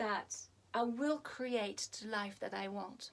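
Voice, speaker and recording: Her pace is very slow. The woman's pitch shows ordinary variation. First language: French. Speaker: hypnotherapist. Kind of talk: video talk to camera. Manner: halting, many fillers.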